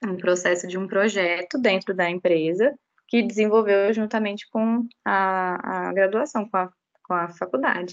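A woman speaks at a fairly slow pace in a plain, everyday voice. Her pitch is medium, with ordinary variation. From Brazil, Goiás, Rio Grande do Norte and Belo Horizonte. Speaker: animal science graduate, regulatory analyst. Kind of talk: casual interview.

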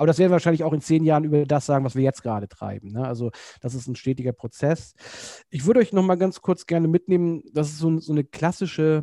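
A man with a dark, mellow tone and fairly high pitch, at a very fast pace with ordinary pitch variation, in a dry, close sound with no echo and a quiet background. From northern Germany (Kiel). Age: 40s. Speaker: educational centre director of studies, podcast co-host. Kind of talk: casual chat.

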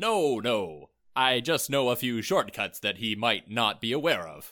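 On a very clean recording with a silent background, a man puts on a character voice at a medium pitch and a fairly slow pace.

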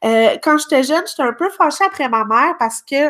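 In a very clean recording with a silent background, a woman speaks with a bright, sharp tone at a moderate pace. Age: young. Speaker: podcast co-host. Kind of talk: casual chat.

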